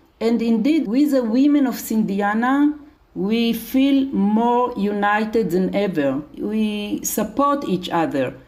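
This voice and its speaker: A woman speaks very slowly with a fairly high pitch, lively intonation and a somewhat breathy voice. Her loudness stays very even, and there is audible room echo. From Israel. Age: 70s. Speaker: charity leader. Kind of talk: interview.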